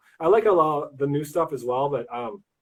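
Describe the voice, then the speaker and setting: The delivery comes at a fairly quick pace. It is an unremarkable speaking voice. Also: man. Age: 40s. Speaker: lego builder. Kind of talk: casual chat. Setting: livestream interview.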